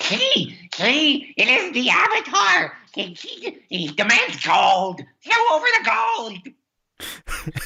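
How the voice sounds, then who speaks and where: Putting on a character voice, a man speaks at an extremely high pitch and a very slow pace, with hardly any pauses. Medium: actual play. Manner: excitable, repeats words.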